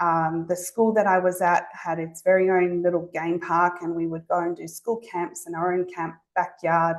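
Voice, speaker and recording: A woman's fairly low voice with a slight Zimbabwean accent, monotone and flat in intonation, at a moderate pace. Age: 40s. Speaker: speech pathologist. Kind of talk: presentation to an audience. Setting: talk with live audience. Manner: hesitant, many fillers.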